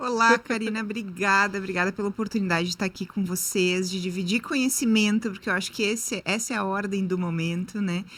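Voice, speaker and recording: A woman at medium pitch talks at a fairly quick pace with hardly any pauses and fairly even intonation. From southern Brazil, Rio Grande do Sul. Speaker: marketing entrepreneur. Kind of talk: interview podcast.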